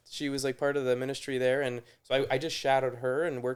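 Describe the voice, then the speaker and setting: A man with a slight Canadian accent, talking at a very fast pace with monotone, flat intonation. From Toronto, Canada. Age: 30s. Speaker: nurse. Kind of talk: casual chat. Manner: halting.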